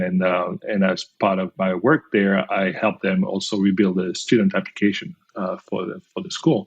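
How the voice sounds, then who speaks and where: A man speaks at a fairly low pitch with a French accent. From France. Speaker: company founder and CEO. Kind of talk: podcast interview. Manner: hesitant, many fillers.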